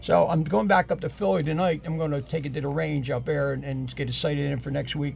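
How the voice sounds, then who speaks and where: With noticeable background noise around him, a man speaks very fast. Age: 70s. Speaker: deer hunter. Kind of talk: casual podcast chat. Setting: podcast recording.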